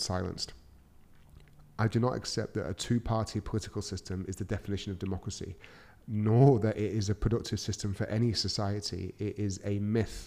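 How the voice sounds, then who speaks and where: He's a man with a Mancunian accent and a dark, mellow tone. He talks at a fairly quick pace, fairly low in pitch, with fairly even intonation. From Manchester, England. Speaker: podcast host, entrepreneur. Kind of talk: solo podcast monologue.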